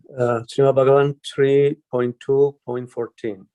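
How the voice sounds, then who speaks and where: A man with a non-native accent, a dark, mellow tone and medium pitch, at a very slow pace, in a dry, close sound with no echo. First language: not English. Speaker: class participant. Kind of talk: reading aloud. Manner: halting.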